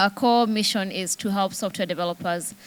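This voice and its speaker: A woman speaks with a Kenyan accent. Her pitch variation is ordinary. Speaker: tech company CEO. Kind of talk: panel discussion. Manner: halting, many fillers.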